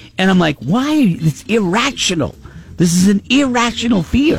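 A man speaks in a high pitch with very wide pitch swings. His tone is animated, and there is noticeable background noise. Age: 50s. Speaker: morning radio host. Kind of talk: casual chat. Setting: studio.

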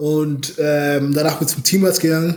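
A man's fairly high-pitched voice in a monotone, flat intonation, with noticeable background noise. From Bavaria, Munich. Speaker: American football player. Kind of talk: interview.

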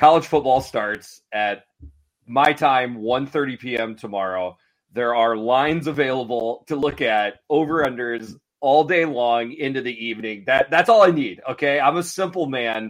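At a fairly slow pace, a man speaks at medium pitch with ordinary pitch variation and an ordinary speaking voice. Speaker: sports gambling analyst. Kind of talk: casual sports betting chat. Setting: phone call.

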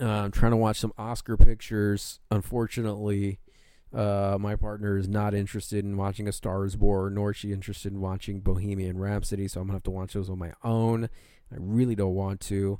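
On a very clean recording with a silent background, a man with a fairly low pitch and a dark, mellow tone speaks at a fairly quick pace in a monotone, flat intonation. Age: 20s. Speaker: comic book podcast host. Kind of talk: casual chat. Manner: rambling, unscripted free-form delivery.

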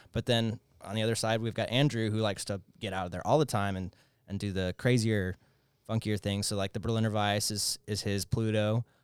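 In a normal speaking voice with an American accent, the speaker goes at a fairly quick pace with fairly even intonation. The sound is dry and close with no echo, on a very clean recording with a silent background. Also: man. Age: 20s. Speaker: brewery owner. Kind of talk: interview.

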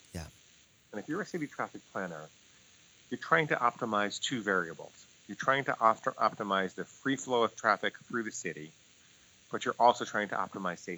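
Lively intonation and a fairly quick pace are broken by long, frequent pauses, all in a dry, close sound with no echo. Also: man, fairly low pitch for a man. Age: 50s. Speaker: psychologist and coach. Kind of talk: interview.

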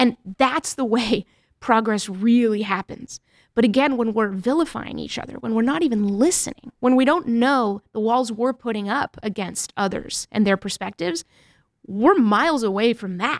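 In a plain, everyday voice, a woman with an American accent talks at a moderate pace with lively intonation and a fairly high pitch, the sound dry and close with no echo on a very clean recording with a silent background. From New Hampshire, born in Mexico. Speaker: author and journalist. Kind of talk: interview.

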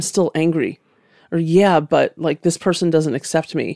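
With a plain, everyday voice and a fairly low pitch, a woman speaks at a moderate pace in a dry, close sound with no echo, a very clean recording over a silent background. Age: 30s. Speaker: podcast host and skincare founder. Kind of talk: interview conversation. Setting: studio.

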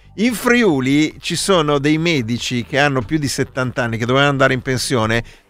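Music plays in the background as a man talks at a fairly quick pace with hardly any pauses. His pitch is fairly high, with ordinary variation. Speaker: radio co-host. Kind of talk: casual live radio chat, election night. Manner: ironic, joking.

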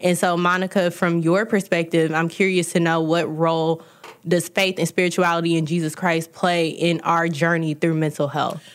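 A woman with an American accent speaks at a moderate pace in a fairly low pitch, her intonation monotone and flat and her loudness very even. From Midwest US (St. Louis). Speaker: podcast host. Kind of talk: interview.

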